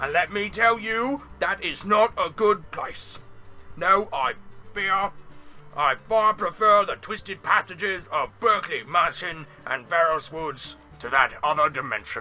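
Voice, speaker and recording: A man uses a put-on character voice, pitched high and delivered at a fairly slow pace. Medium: read story. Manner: folksy, chatty.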